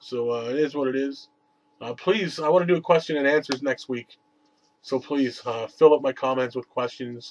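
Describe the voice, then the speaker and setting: A man's fairly high voice keeps to a moderate pace. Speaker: wrestling video reviewer. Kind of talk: casual vlog review. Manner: monotone; hesitant, many fillers.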